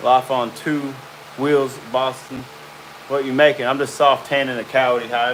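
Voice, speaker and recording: Noticeable background noise sits behind a man speaking at a fairly slow pace. His medium-pitched voice has monotone, flat intonation. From central Arkansas. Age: 30s. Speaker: hide tanner. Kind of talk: live stream chat. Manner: casual.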